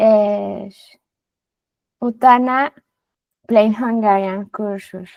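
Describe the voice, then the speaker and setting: Speaking very slowly with long, frequent pauses, a woman talks in a fairly high voice. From Mexico. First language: Spanish (speaking Hungarian). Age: 30s. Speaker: film editor and Hungarian learner. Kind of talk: interview. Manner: halting.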